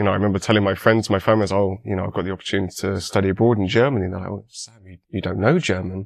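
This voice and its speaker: A man with a British accent talks at a fairly low pitch. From England. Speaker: university student. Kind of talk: podcast interview.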